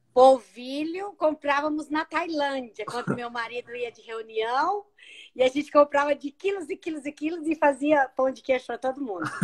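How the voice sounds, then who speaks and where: A woman with a high pitch and a slight Minas Gerais accent talks at a moderate pace with ordinary pitch variation and big swings in loudness, in a dry, close sound with no echo. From Brazil, São Paulo, Minas Gerais family. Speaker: former missionary. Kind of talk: casual chat. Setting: video call.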